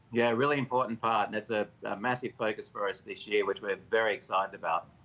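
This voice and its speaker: Talking very fast with an Australian accent, a man keeps a medium pitch and fairly even intonation. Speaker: company executive. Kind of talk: TV interview.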